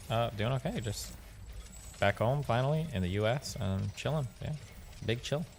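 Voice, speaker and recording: Somewhat breathy and medium in pitch, a man speaks at a moderate pace with ordinary pitch variation and long, frequent pauses. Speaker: gamer. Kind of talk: casual chat.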